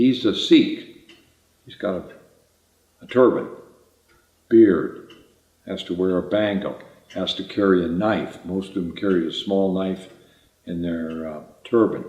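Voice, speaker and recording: With an American accent, the speaker goes at a fairly slow pace with fairly even intonation, long, frequent pauses and big swings in loudness. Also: man, very deep, low pitch for a man. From US Midwest. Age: 80s+. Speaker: retired navy flight surgeon. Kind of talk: life story interview. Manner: halting.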